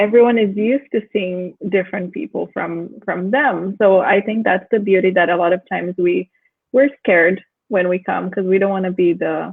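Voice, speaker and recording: A woman with a non-native accent and fairly even intonation. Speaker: discussion moderator. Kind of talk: panel discussion.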